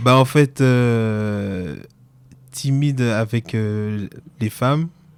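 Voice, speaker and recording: A man with a slight Antillean accent, a medium pitch and a very slow pace. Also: ordinary pitch variation. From French Antilles. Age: 30s. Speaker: podcast guest. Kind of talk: personal interview. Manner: hesitant.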